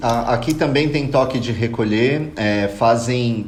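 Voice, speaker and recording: A man talks very slowly in a room with audible echo and noticeable background noise. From Brazil. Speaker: podcast panelist. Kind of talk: casual chat.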